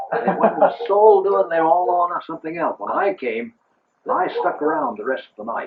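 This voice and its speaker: This man's high-pitched voice, with an American accent, swings very widely in pitch. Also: moderate pace. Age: 80s+. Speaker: retired church welfare worker. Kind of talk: family storytelling.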